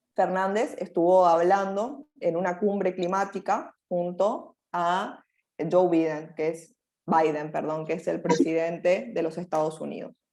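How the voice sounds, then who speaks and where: A woman's dark, mellow tone, fairly low in pitch, with ordinary pitch variation at a fairly slow pace in a very clean recording with a silent background. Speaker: university lecturer. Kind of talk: lecture.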